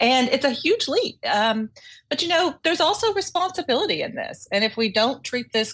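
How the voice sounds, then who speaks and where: Very wide pitch swings mark this voice with an Oklahoma accent, heard on a very clean recording with a silent background. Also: woman. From Oklahoma, US. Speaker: corporate legal executive. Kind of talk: interview.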